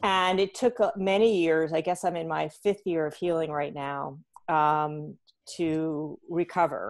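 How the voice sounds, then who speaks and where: Against a quiet background, a woman with an American accent speaks fairly slowly at a fairly low pitch, with ordinary pitch variation. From New Jersey. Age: 50s. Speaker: professional organizer; podcast guest. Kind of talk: interview. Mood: earnest, reflective. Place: home room. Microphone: earbuds.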